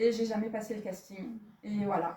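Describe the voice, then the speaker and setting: A woman's fairly high voice carries audible echo from the room. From France, Jura. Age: 50s. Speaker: personal development speaker. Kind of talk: informal talk to a small group. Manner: hesitant, many fillers; casual.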